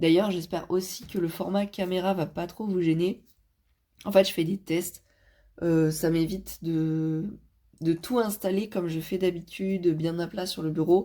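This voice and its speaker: A woman with a dark, mellow tone and fairly low pitch speaks at a fairly slow pace with fairly even intonation. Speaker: vlogger. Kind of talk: casual vlog talk. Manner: hesitant, many fillers.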